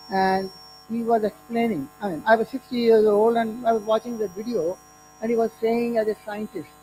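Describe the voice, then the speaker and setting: Someone speaks at a moderate pace, with music in the background. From India. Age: 60s. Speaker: retired nuclear engineer and conference speaker. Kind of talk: conference talk. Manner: halting.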